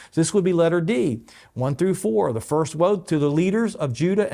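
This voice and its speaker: On a very clean recording with a silent background, a man talks at a fairly quick pace in a fairly high pitch, with a dark, mellow tone and lively intonation. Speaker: pastor. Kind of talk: bible teaching. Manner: fast.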